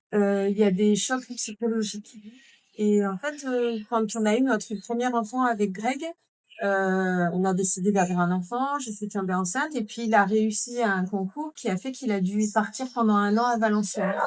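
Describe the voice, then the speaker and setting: With normal pitch movement, a woman talks at a moderate speed. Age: 40s. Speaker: mother living with chronic illness, podcast guest. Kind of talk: podcast interview.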